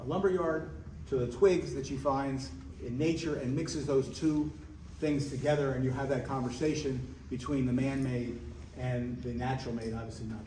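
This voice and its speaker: A man speaks with a New Jersey accent at a moderate pace, his medium pitch showing ordinary pitch variation. Noticeable background noise and audible room echo fill the recording. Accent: New Jersey American. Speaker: gallery co-owner and curator. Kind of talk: gallery tour talk. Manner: halting, many fillers.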